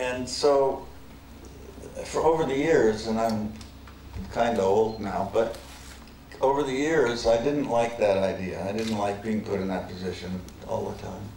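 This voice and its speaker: A man speaks at a fairly slow pace with ordinary pitch variation and long, frequent pauses. Room echo is audible, along with light background noise. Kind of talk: lecture. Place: hall. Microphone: podium.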